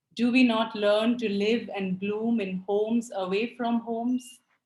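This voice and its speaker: A woman talks at a very slow pace in a fairly high pitch. Her voice is somewhat breathy, with ordinary pitch variation. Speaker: poet. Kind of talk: poetry reading.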